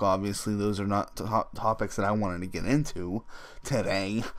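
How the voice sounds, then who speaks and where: At a moderate pace, a man with an unremarkable speaking voice talks in a fairly low register, with ordinary pitch variation. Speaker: gaming YouTuber. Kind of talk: casual vlog monologue.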